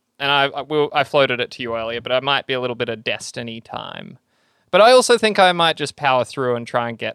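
An animated man with an Australian accent talks fairly quickly at a medium pitch, with lively intonation and a bright, sharp tone. The recording is very clean, with a silent background and a dry, close sound that has no echo. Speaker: podcast co-host. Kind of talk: casual banter. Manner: animated, joking.

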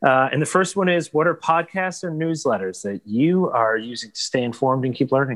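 At a fairly quick pace, an unremarkable speaking voice moves with lively intonation over a quiet background. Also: man, fairly high pitch for a man. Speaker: podcast host. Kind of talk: podcast interview.

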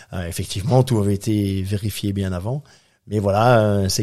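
The speaker is a man with a fairly low voice. His pitch varies in an ordinary way. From Belgium, Brussels. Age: 50s. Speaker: ocean racing sailor and entrepreneur. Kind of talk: interview. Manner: hesitant, many fillers.

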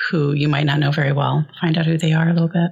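A woman's very deep, low pitch over noticeable background noise. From Iowa, US Midwest. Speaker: poet and writer. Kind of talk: casual interview chat.

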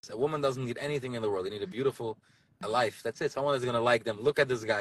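With an American accent, a man at a medium pitch talks at a very fast pace in a dry, close sound with no echo. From US Northeast, Borough Park, Brooklyn. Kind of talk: casual chat. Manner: animated.

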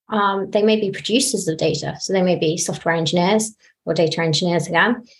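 Using a British accent, a woman speaks at a moderate pace in a fairly low, somewhat breathy voice with ordinary pitch variation. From UK. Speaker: data engineer. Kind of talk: panel discussion.

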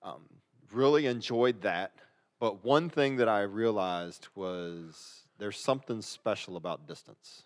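A man speaks in a normal speaking voice at a fairly slow pace, with a fairly low pitch and lively intonation. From US South, Virginia (Norfolk). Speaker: pastor. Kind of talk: casual chat.

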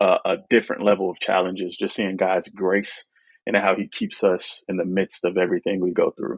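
This man talks at a fairly quick pace. The sound is dry and close, with no echo. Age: 20s. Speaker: single father. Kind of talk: casual chat.

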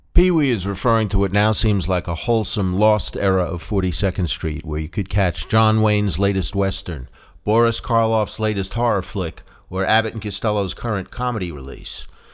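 A man has an ordinary speaking voice, fairly low in pitch with ordinary pitch variation. The recording is very clean, with a silent background. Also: moderate pace. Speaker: podcast host and author. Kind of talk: scripted narration.

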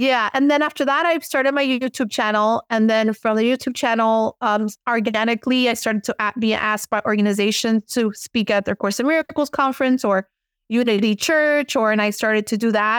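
On a very clean recording with a silent background and a dry, close sound with no echo, a woman with an American accent speaks fairly quickly at a fairly high pitch, with ordinary pitch variation, very even loudness and hardly any pauses. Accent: Miami Cuban American English. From Miami, Cuban American. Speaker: spiritual teacher and author. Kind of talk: casual interview. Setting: podcast interview.

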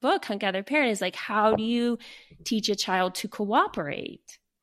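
Recorded very cleanly against a silent background, a woman with an unremarkable speaking voice talks at a medium pitch with ordinary pitch variation. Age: 40s. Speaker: journalist and parenting author. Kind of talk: casual interview.

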